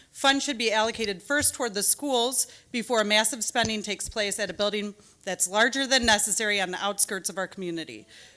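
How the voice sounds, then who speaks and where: A woman with a Michigan accent has a bright, sharp tone and a fairly high pitch. She talks fairly quickly, with ordinary pitch variation. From Rochester, Michigan. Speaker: attorney and parent speaking at public comment. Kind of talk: public comment at school board meeting. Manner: fast.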